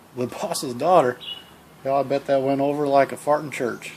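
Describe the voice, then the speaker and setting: With an American accent, a man talks fairly slowly in a fairly high pitch, his intonation fairly even, over noticeable background noise. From Iowa, US. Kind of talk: unscripted comic self-dialogue with country sayings. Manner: casual, joking.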